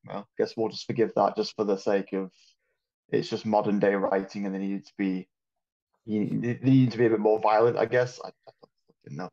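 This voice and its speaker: In a put-on character voice, a man rumbles at a fairly low pitch and moderate pace, his loudness swinging widely in a dry, close sound with no echo. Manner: annoyed, frustrated, grumbling.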